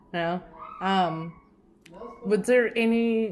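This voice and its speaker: A woman's voice amid noticeable background noise. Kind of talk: casual interview questions.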